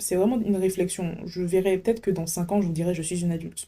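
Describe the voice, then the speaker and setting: Ordinary pitch variation in a woman's dark, mellow voice. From French Antilles. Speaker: podcast host. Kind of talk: casual monologue. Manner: animated.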